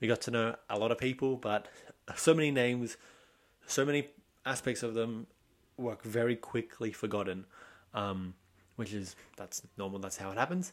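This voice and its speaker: A man with an Australian accent speaks at a medium pitch and a moderate pace. He leaves long, frequent pauses, and the recording is very clean with a silent background. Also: ordinary pitch variation. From Australia, Sydney. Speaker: podcast host. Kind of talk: casual solo monologue.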